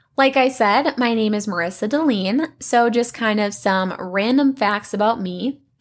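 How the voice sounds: A woman at medium pitch and a fairly slow pace, with lively intonation.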